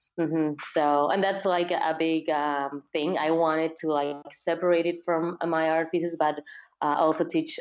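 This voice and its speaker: Her pace is moderate. The woman's intonation is monotone and flat. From Peru. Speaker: fiber artist. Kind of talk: interview. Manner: halting, many fillers.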